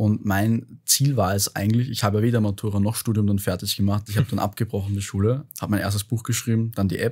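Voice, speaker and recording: On a very clean recording with a silent background, a man rushes along very fast with hardly any pauses, his fairly low voice somewhat breathy and his intonation monotone and flat. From Austria, Vienna. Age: 20s. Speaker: startup founder and author. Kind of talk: interview conversation. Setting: podcast studio.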